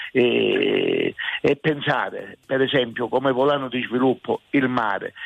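Noticeable background noise accompanies a man who talks very slowly. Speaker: town mayor. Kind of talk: radio interview. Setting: remote radio link.

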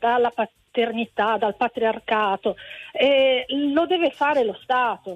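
With a high pitch and ordinary variation, a woman speaks at a fairly slow pace. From Calabria, Italy. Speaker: teacher. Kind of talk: radio phone-in call. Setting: phone call.

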